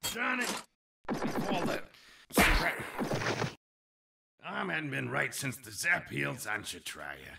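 A man puts on a cartoonish character voice that is raspy and fairly low in pitch. He talks at a fairly slow pace with long, frequent pauses. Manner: gruff, grumbling.

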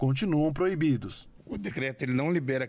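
This is a man speaking with a Brazilian accent. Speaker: municipal official. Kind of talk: news interview. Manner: formal. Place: street. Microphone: handheld.

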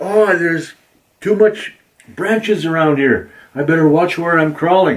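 A man uses a put-on character voice with a high pitch. He keeps a moderate pace, with long, frequent pauses. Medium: read story. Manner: playful, whiny, theatrical.

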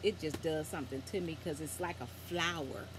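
A woman with a very deep, low voice and lively intonation. The sound is dry with no echo, and background noise is noticeable. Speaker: vlogger. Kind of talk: casual vlog chat with scripture reading. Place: home room. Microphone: phone near.

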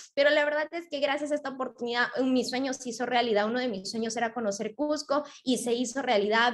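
A woman talks very fast in a high voice. The background is quiet. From Peru. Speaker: network marketing member. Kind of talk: testimony. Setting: live online stream. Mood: upbeat, grateful. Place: home room. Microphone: video call.

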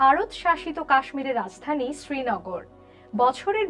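A woman speaks at a high pitch with very wide swings in her pitch while music plays in the background. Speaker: voice over artist. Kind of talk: news presentation.

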